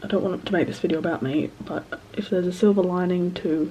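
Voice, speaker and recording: Mumbling from a woman amid noticeable background noise. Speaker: student. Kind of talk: casual talk to camera. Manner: hesitant, mumbled.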